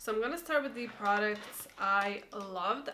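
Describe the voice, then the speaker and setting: Against noticeable background noise, a woman with a non-native accent speaks at a fairly high pitch. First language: not English. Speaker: beauty YouTuber. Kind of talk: product review vlog. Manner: casual, hesitant.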